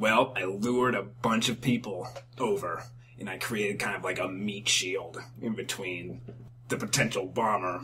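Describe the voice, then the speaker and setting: A raspy, put-on character voice from a man at fairly low pitch and moderate pace, with clear background noise. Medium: solo performance. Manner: deadpan, hesitant, rambling.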